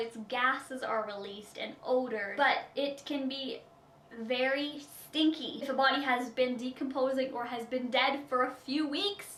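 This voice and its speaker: Audible room echo surrounds a woman with a Canadian Prairie accent and a high pitch. She speaks at a moderate pace with ordinary pitch variation. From Saskatchewan, Canada. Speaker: beauty vlogger. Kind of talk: Q&A vlog.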